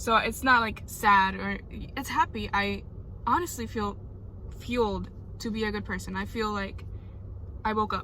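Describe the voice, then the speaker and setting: At a moderate pace, a woman speaks with long, frequent pauses as room echo is audible around her. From Puerto Rico. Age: 20s. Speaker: vlogger. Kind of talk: personal vlog monologue.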